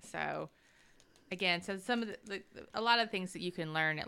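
This woman has a fairly low pitch and a bright, sharp tone with vocal fry, talking at a fairly quick pace with ordinary pitch variation. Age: 40s. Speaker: podcast co-host leading Bible discussion. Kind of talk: casual Bible study chat.

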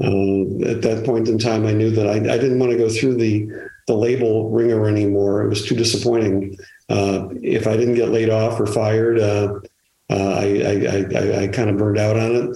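A man with a Chicago accent, fairly low pitch and a dark, mellow tone, monotone and flat, at a moderate pace with very even loudness and audible room echo. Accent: Chicago American English. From Chicago area. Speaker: retired music publicist. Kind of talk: interview conversation. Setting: remote from home. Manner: halting, many fillers and repetitions.

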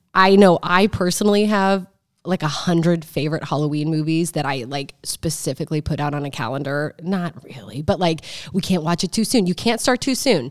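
A woman's plain, everyday voice with an American accent, fairly low in pitch, lively in intonation and fairly quick in pace. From Omaha, Nebraska. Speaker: podcast host, real estate agent. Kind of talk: casual chat.

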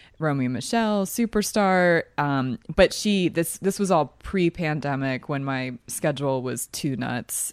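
Very deep and low for a woman, her voice carries lively intonation at a moderate pace in a very clean recording with a silent background and a dry, close sound with no echo. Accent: slight Philadelphia. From Philadelphia, US. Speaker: podcast host. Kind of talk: casual chat, movie discussion. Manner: chatty, laughs often.

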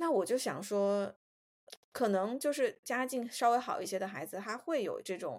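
A woman's fairly high voice, an ordinary speaking voice, at a fairly slow pace with lively intonation. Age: 30s. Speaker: podcast co-host. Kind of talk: casual chat.

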